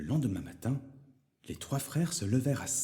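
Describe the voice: Plain reading aloud with lively intonation. The background is quiet.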